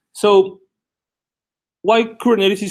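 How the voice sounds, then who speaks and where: A man with a Guatemalan accent speaks at a fairly slow pace. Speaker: tech conference speaker. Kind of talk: technical talk. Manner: halting, many fillers.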